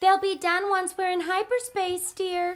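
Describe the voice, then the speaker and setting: A woman's put-on character voice, squeaky and extremely high, monotone and flat, at a moderate pace. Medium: audio drama. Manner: sweet, prim.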